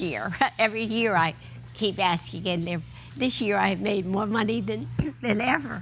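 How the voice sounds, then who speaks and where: Audible room echo surrounds a woman speaking at a fairly low pitch, with vocal fry and very wide pitch swings. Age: 90s. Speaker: elderly marathon runner and pianist. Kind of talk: TV interview.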